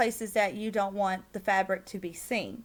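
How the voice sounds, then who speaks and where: Speaking at a fairly slow pace, a woman with a strong Southern accent has a fairly high pitch. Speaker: game content creator. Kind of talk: tutorial. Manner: loud; hesitant, many fillers.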